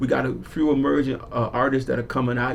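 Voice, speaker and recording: Speaking with a Southern US accent, a man uses an animated tone at a medium pitch and a fairly quick pace. Noticeable background noise is present. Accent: Southern twang. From South Florida (Broward County). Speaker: community activist. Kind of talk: radio interview. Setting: radio studio. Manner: casual, animated.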